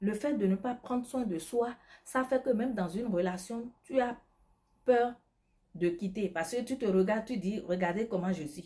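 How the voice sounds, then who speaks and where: A woman speaks at a moderate pace in a fairly high pitch with ordinary pitch variation. Her voice is somewhat breathy, with a dark, mellow tone. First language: not French (speaking French). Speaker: lifestyle advice vlogger and beauty product seller. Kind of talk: advice monologue. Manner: animated.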